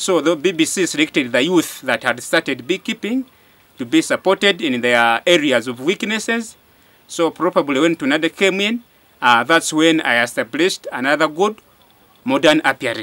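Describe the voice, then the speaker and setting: A man's bright, sharp tone at a moderate pace, with lively intonation. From Western Uganda. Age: 20s. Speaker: beekeeper. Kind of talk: testimony. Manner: halting. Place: open country.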